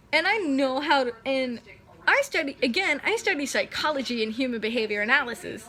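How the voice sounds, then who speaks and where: At a moderate pace, a woman speaks in a raised, projected voice with lively intonation. She leaves long, frequent pauses. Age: 20s. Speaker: vlogger. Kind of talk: casual talk to camera. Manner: halting.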